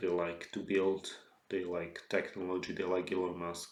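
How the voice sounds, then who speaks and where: Speaking with a Slovak accent at a fairly slow pace, a man is heard with audible room echo. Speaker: author. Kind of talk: solo lecture monologue. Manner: halting, many fillers and restarts.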